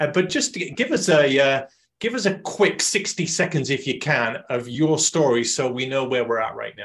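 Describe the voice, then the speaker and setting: A man's unremarkable speaking voice at a fairly high pitch, with lively intonation and a moderate pace. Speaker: podcast host. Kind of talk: interview.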